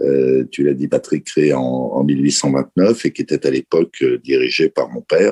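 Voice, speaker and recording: A man talks at a moderate pace with hardly any pauses. The sound is dry and close, with no echo. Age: 60s. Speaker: company chairman. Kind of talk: interview.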